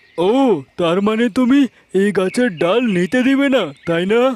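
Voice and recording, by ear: At a moderate pace, a man does a cartoonish character voice with a high pitch and very even loudness. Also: ordinary pitch variation.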